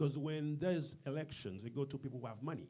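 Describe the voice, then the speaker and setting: Talking at a very fast pace, a man with a dark, mellow tone sounds somewhat breathy and uses ordinary pitch variation. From Haiti. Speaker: community business leader. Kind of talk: interview. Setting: studio with live audience.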